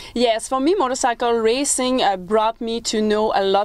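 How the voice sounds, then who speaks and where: With a French-Canadian accent, a woman talks at a moderate pace and fairly even intonation. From Quebec, small French-speaking town. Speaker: motivational speaker, former motorcycle racer. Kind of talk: TV interview.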